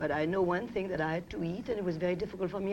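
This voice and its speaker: A woman talks at a very fast pace in a French accent, her pitch fairly low. Noticeable background noise runs behind her. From France. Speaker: fashion designer and business owner. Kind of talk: TV talk show interview.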